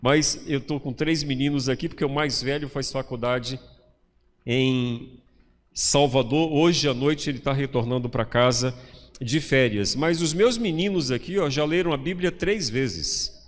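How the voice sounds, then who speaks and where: Speaking at a moderate pace, a man has an unremarkable speaking voice, fairly high in pitch with ordinary pitch variation. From Bahia, Brazil (interior). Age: 50s. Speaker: pastor. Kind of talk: sermon. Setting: church.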